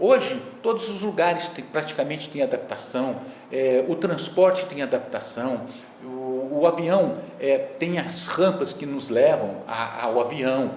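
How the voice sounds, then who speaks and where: Through audible room echo and noticeable background noise, a man talks at a high pitch with very wide pitch swings and big swings in loudness. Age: 60s. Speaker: master's student and court employee, wheelchair user. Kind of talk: lecture. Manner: halting, many filler words.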